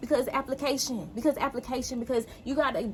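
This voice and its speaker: This woman has a high pitch and talks very fast. Background noise is noticeable. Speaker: spiritual lifestyle show host. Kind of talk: motivational talk to viewers; guided hypnosis intro. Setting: outdoors. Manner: animated; calm.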